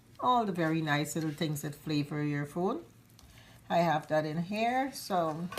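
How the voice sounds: A woman speaks in a fairly low pitch at a fairly slow pace. Her intonation is lively.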